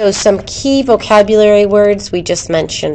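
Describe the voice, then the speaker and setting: An unremarkable speaking voice, moderately paced, its pitch moving in an ordinary way. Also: woman. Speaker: biology teacher. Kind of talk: recorded lecture.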